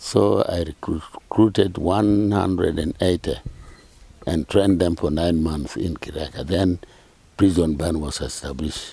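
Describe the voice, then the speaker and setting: A man with a very deep, low voice speaks at a fairly slow pace with vocal fry and ordinary pitch variation. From Uganda, Apac district. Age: 80s+. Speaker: retired army band director and priest. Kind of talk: interview answer.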